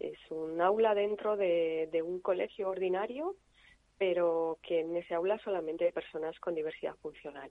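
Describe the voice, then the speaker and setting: A woman speaks in a normal speaking voice, her pitch fairly low. Her pace is moderate, and her intonation fairly even. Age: 50s. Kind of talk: interview.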